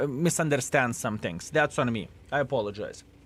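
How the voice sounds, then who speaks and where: A man with a Lithuanian accent speaks at a moderate pace with ordinary pitch variation. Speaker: gaming streamer. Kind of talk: live-stream chat. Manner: casual, hesitant.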